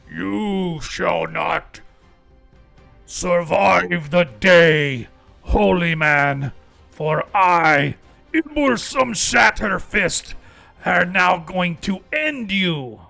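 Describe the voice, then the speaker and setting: Over faint background music, a man in a put-on character voice speaks very slowly at a high pitch, with long, frequent pauses. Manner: menacing.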